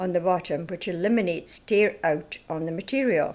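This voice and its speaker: A woman speaks with a Scottish accent at a medium pitch. Her pace is moderate and her pitch variation ordinary. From Scottish Highlands. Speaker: narrator. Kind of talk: product demonstration narration.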